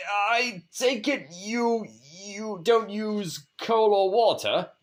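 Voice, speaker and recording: This man uses a put-on character voice, pitched high. He talks at a very slow pace. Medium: read story. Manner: stammering, bewildered.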